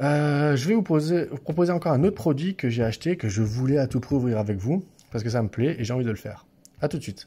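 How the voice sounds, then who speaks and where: Lively intonation and a dark, mellow tone carry somewhat breathy speech at a very fast pace. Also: man, fairly high pitch for a man. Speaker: YouTuber opening card packs. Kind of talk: casual unboxing video. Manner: halting, repeats words.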